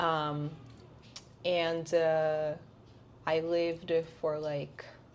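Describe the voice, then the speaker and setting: With audible room echo, a woman speaks very slowly in a very deep, low voice, her intonation flat and monotone. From Brazil. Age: 20s. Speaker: dancer and influencer. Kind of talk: interview.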